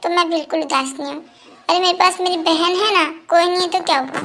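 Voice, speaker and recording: In a put-on character voice, a woman talks at an extremely high pitch. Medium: audio drama. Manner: soft, wistful.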